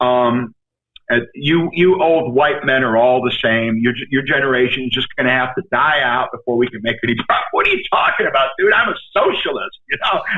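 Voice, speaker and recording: With a New York accent, a man speaks at a moderate pace using lively intonation. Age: 60s. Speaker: actor. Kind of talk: casual chat. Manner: animated.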